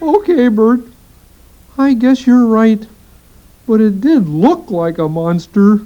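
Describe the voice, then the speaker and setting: A woman's put-on character voice, fairly high and fairly slow, broken by long, frequent pauses. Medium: read story. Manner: excitable, jumpy.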